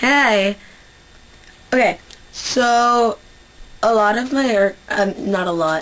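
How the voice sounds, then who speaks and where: A woman speaks at a very slow pace with a fairly high pitch. Her speech has long, frequent pauses. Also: ordinary pitch variation, very even loudness. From Central Canada. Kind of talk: casual talk to camera. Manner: casual, chatty.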